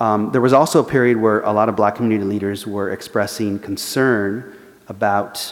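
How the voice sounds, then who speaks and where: Audible room echo surrounds a man with an American accent who speaks fairly quickly at a fairly low pitch with fairly even intonation. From Los Angeles, US. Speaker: journalist and author. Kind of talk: lecture; audience Q&A. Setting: church forum with live audience.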